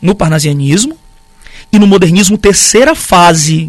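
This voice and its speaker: Here a man talks at a high pitch. His pitch varies in an ordinary way. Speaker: literature teacher. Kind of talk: live-streamed lecture.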